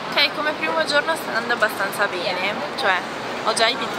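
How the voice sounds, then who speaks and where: Loud background noise fills the recording. Over it, a woman speaks with ordinary pitch variation. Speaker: travel vlogger. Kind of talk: casual vlog chat. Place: street. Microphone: phone near.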